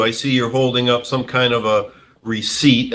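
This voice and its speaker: This man has a bright, sharp tone at medium pitch. His intonation stays monotone and flat. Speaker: judge. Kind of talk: courtroom ruling from the bench.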